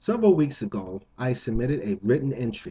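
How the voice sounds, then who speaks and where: Speaking in an American accent, this man has a somewhat breathy voice. He talks at a moderate pace with lively intonation. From New Jersey, Jersey City. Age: 50s. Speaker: contest entrant. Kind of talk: appeal to viewers.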